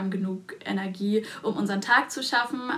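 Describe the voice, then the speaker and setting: A woman at fairly high pitch with fairly even intonation, over noticeable background noise. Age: 20s. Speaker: dentist and podcast co-host. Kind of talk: casual chat.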